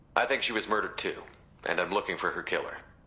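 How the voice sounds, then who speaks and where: A man performs a put-on character voice. He speaks at a very fast pace. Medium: video game. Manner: steady, composed.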